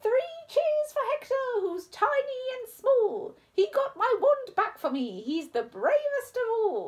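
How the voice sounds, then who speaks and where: A put-on character voice, female-sounding and extremely high in pitch, delivered at a fairly slow pace. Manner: hooting, joyful.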